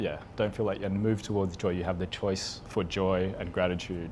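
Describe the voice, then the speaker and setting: A man speaks with an Australian accent. His pitch is fairly low and his pace moderate. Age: 40s. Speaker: Psych-K facilitator. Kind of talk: interview answer.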